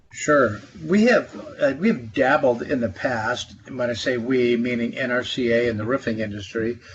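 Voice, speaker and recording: Noticeable background noise sits behind a man with an American accent. He speaks at a moderate pace and medium pitch with ordinary pitch variation. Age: 60s. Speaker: trade association executive, former congressman. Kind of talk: podcast interview. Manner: hesitant, many fillers.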